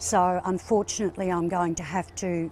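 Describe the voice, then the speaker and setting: A woman's fairly low, monotone voice with flat intonation, in an Australian accent, at a moderate pace. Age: 60s. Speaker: terminally ill patient. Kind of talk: interview.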